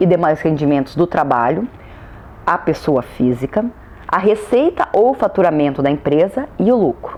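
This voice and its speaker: Lively intonation comes through in a rural Brazilian accent. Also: woman. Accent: Brazilian countryside. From Brazil, countryside (interior). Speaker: law lecturer. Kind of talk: lecture.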